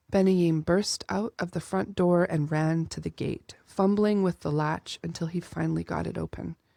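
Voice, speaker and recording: A woman's ordinary speaking voice, fairly low in pitch with ordinary pitch variation, at a fairly slow pace, with a dry, close sound with no echo on a very clean recording with a silent background. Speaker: audiobook author-narrator. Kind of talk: audiobook reading of fantasy fiction.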